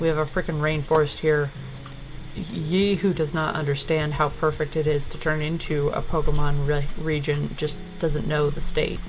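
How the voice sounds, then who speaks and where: Someone with an American accent speaks at a moderate pace over noticeable background noise. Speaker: gaming and art content creator. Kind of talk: casual gameplay commentary. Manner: casual, with filler words.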